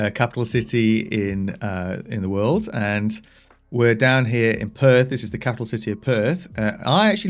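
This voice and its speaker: The recording is very clean, with a silent background. A man talks with an English accent. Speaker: software developer. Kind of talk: casual tutorial. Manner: casual, with fillers and self-corrections.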